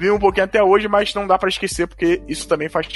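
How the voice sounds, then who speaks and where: A man rattles through his words at a very fast pace with noticeable background noise around him. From Brazil. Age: 30s. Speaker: podcast host. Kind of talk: casual monologue about video game history.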